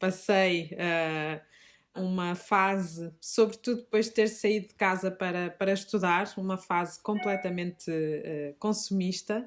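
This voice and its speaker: Very clean recording with a silent background, featuring a woman of medium pitch at a fairly slow pace with fairly even intonation. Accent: Minho. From northern Portugal, Minho (Fafe, Braga district). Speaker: teacher and shop founder. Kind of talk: podcast interview. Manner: hesitant, many fillers.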